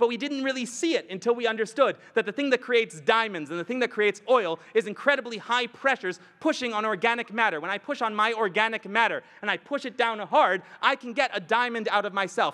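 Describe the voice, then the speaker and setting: With a raised, projected voice, a man speaks high for his sex at a fairly quick pace with ordinary pitch variation, the sound dry and close with no echo. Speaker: rabbi, lecturer. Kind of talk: lecture. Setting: stage with audience at a retreat. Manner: fast.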